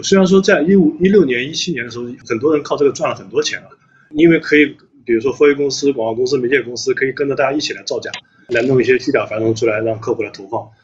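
Over noticeable background noise, a man rushes along at a very fast pace, his pitch varying in an ordinary way. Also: big swings in loudness. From Anhui, China. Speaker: company CEO. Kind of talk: casual chat.

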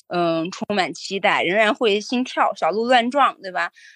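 A woman speaks in a normal speaking voice at a fairly high pitch, with lively intonation. Her pace is fairly slow, and the background is quiet. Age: middle-aged. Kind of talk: casual chat.

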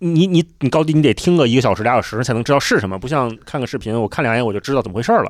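Very fast, lively speech from a man at medium pitch, on a very clean recording with a silent background. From Beijing. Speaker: podcast host. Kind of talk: casual chat.

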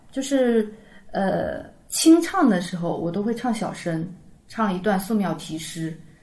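Over noticeable background noise, a woman talks with lively intonation at a medium pitch. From Taizhou, Zhejiang. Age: 30s. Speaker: amateur Yue opera singer. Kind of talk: casual chat.

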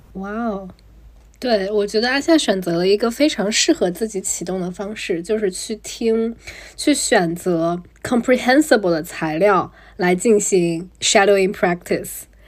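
With an unremarkable speaking voice, a woman talks at a fairly slow pace in a medium pitch with lively intonation. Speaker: podcast host. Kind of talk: casual interview chat. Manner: mixes English words into Chinese.

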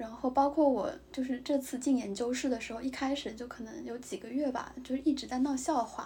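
A woman's high-pitched voice at a fairly quick pace, with fairly even intonation, hardly any pauses and noticeable background noise. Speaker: podcast co-host, graduate student in Japan. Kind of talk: casual chat. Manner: halting with many fillers.

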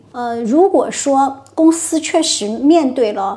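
A woman's voice with noticeable background noise behind it. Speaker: HR consultant. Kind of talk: interview.

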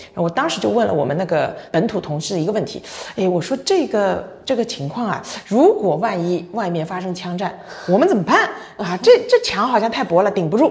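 With lively intonation and an animated tone, a woman at medium pitch speaks at a fairly quick pace against noticeable background noise. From China. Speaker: logistics company general manager. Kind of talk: casual interview.

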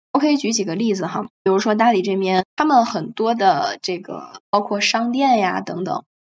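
A woman speaks at a moderate pace in an ordinary speaking voice, medium in pitch. Her intonation is lively, and she leaves hardly any pauses. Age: 20s. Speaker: podcast guest, long-stay traveler. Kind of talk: casual chat.

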